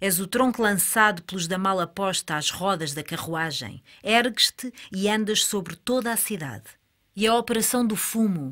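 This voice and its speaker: Over a silent background in a very clean recording, a woman with a medium pitch and a bright, sharp, theatrical tone speaks at a fairly slow pace with lively intonation. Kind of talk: staged dialogue reading of surrealist verse, alternating with another voice. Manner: dreamlike, deliberate, theatrical.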